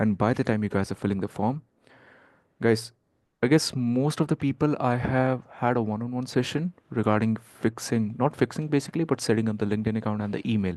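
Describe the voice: Speaking at a fairly quick pace, a man shows ordinary pitch variation. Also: medium pitch for a man, slightly mellow tone.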